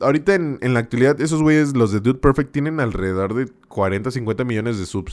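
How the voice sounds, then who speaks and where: Lively, medium-pitched male speech at a fairly quick pace, on a very clean recording with a silent background. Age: 20s. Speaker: streamer and podcast host. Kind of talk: casual live-stream chat. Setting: live stream. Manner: animated, repetitive and halting.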